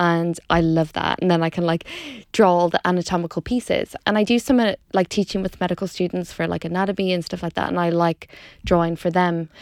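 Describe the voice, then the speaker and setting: In a fairly low voice with an Irish accent, a woman speaks at a fairly quick pace with fairly even intonation, on a very clean, dry, close recording with a silent background and no echo. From Ireland, Dundalk. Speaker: doctor and food blogger. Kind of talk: casual interview chat. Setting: studio.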